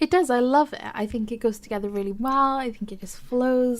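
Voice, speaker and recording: The speaker has a Welsh accent and talks at a fairly quick pace. Pitch variation is ordinary. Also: woman. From Wales. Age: 21. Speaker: podcast co-host. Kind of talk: casual chat.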